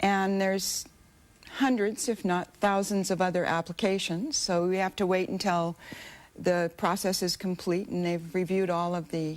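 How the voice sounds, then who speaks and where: An unremarkable speaking voice, a woman's at medium pitch, moves at a moderate pace with fairly even intonation. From United States. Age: 60s. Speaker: aid volunteer. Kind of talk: TV interview.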